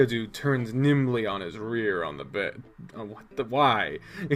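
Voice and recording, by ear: The clip consists of reading aloud in a natural voice.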